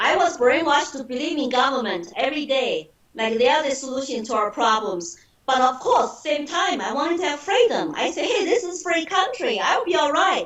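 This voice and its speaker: Over noticeable background noise, a woman with a Chinese accent speaks at a moderate pace with very wide pitch swings. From China (Shanghai). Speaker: political candidate. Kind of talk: interview.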